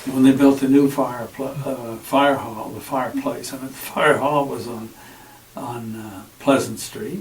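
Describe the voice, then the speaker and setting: A man at a fairly high pitch and moderate pace, with noticeable background noise. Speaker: oral history interviewee, former town councillor. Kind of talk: oral history interview answer. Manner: conversational, with frequent fillers.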